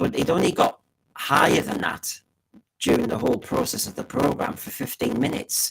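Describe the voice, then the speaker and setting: Talking fairly quickly, a man speaks with an English accent. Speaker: podcast host. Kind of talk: solo commentary on TV ratings. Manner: fast; animated.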